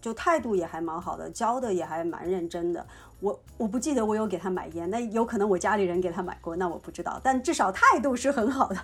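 Over noticeable background noise, a woman at a medium pitch races along at a very fast pace with lively intonation and hardly any pauses. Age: young. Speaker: podcast co-host. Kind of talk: casual chat.

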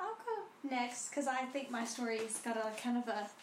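A woman speaks in a high pitch at a moderate pace. Her intonation is fairly even, with noticeable background noise behind her. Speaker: podcast co-host. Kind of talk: casual chat.

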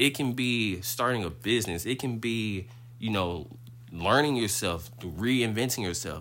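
There is audible room echo around a man's medium-pitched voice with vocal fry, moving at a fairly slow pace with ordinary pitch variation. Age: 20s. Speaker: podcast host. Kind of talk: casual monologue.

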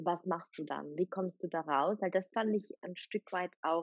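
A woman's fairly slow speech at a medium pitch, with fairly even intonation, in an ordinary speaking voice. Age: young. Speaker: podcast host and coach. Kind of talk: casual interview.

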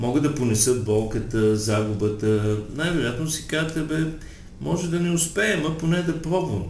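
A man's fairly slow, fairly high-pitched speech with very wide pitch swings and audible room echo. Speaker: sexologist and psychotherapist. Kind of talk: interview.

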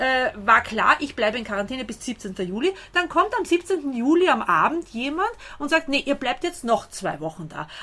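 High-pitched woman's voice with very wide pitch swings amid noticeable background noise. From Austria. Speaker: translator and volunteer helper. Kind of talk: interview. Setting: outdoors on a balcony.

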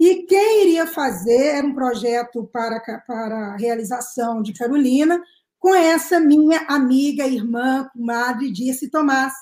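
A woman with a high pitch speaks at a fairly slow pace with lively intonation. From Minas Gerais, Brazil (Sabará). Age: 50s. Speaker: actress. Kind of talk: panel discussion. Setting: online live stream.

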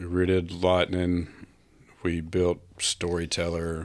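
Very slowly, a man speaks in a very deep, low pitch. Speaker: bicycle club president. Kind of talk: casual chat.

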